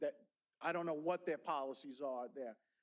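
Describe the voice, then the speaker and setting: Animated and fairly quick, a man with a New York accent talks with ordinary pitch variation. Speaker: school board member, former teacher. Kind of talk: board meeting discussion. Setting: public board meeting room. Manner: animated, with repeated words and false starts.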